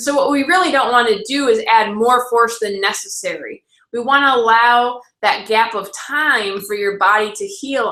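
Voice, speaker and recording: A woman's fairly high voice, bright and sharp in tone, with ordinary pitch variation. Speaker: chiropractor. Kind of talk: live webinar talk. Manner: fast.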